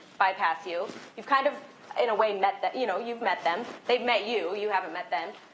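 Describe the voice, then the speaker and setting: A woman speaks at a medium pitch with ordinary pitch variation. Noticeable background noise and audible room echo are present. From Iowa, US Midwest. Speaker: real estate instructor. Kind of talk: lecture. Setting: classroom with audience. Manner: fast.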